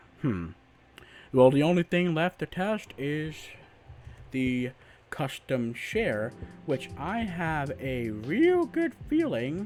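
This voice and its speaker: A man speaking very slowly with very wide pitch swings and long, frequent pauses, over background music. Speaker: penetration tester. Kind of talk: screen-recorded hacking tutorial.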